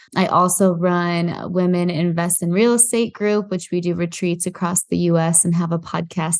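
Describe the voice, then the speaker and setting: Over a quiet background, a woman in a Midwestern American accent talks at a moderate pace and a fairly low pitch, with hardly any pauses. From US Midwest, Iowa. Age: 20s. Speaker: real estate investor. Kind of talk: podcast interview.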